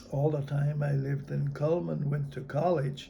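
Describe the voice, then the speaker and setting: A man speaks at a fairly slow pace with a fairly high pitch. Noticeable background noise runs behind him. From North Dakota. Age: 80s+. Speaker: army veteran. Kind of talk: interview answer.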